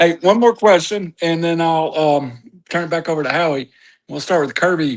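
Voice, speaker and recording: A man talks with a high pitch and ordinary pitch variation, the background around him quiet. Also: moderate pace. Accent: Southern US. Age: 60s. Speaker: local media co-host. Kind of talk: casual interview.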